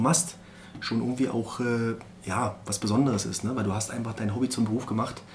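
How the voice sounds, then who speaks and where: A man speaks at a moderate pace and medium pitch in an unremarkable speaking voice. His intonation is fairly even. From Berlin (Marzahn). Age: 40s. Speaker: former professional footballer. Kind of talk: interview.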